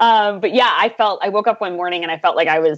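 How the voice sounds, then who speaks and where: In an American accent, a woman with a medium pitch and ordinary pitch variation speaks in an unremarkable speaking voice. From US Northeast, Boston. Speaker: advertising creative director and podcaster. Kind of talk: casual interview chat.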